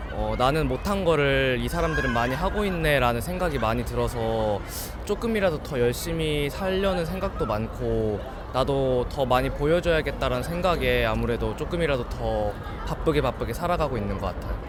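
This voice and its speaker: Noticeable background noise and audible room echo surround a man who talks at a very fast pace. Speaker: university student. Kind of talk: street interview.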